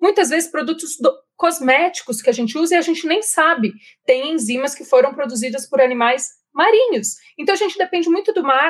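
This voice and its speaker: The delivery comes at a fairly quick pace. Its pitch swings very widely. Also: woman. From Jundiaí, interior of São Paulo, Brazil. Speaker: marine scientist. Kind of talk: interview.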